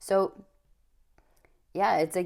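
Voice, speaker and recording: At a moderate pace, a woman talks with a dark, mellow tone. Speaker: tarot reader. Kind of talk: tarot reading. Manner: casual, hesitant with fillers.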